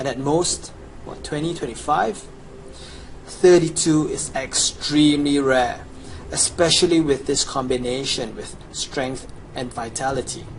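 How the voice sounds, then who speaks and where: With a Chinese accent, a man speaks at a fairly high pitch, his loudness swinging widely. Noticeable background noise and audible room echo surround him. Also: fairly slow pace. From China. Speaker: video game player / guide seller. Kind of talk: promotional gameplay walkthrough. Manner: casual, enthusiastic.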